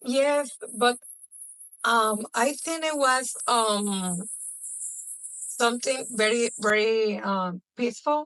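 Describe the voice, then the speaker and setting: With music in the background and a dry, close sound with no echo, a woman speaks very slowly at a fairly high pitch, with ordinary pitch variation and long, frequent pauses. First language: Spanish. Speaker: podcast co-host. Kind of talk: casual chat. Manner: halting.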